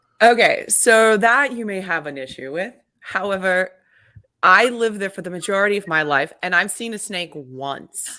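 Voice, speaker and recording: On a very clean recording with a silent background, a woman with a slight Australian accent speaks at a moderate pace and medium pitch, her bright, sharp tone carrying lively intonation and big swings in loudness. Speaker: podcaster and mountain biker. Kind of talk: casual chat.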